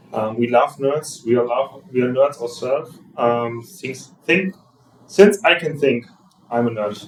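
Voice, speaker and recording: Someone with a German accent speaks at a fairly slow pace with ordinary pitch variation. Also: man. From Germany. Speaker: church planter. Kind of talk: panel discussion.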